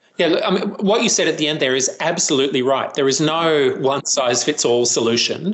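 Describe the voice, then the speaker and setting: A fairly high-pitched man with an Australian accent, at a fairly quick pace and very even loudness. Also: ordinary pitch variation. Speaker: professor and violence prevention researcher. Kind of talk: interview.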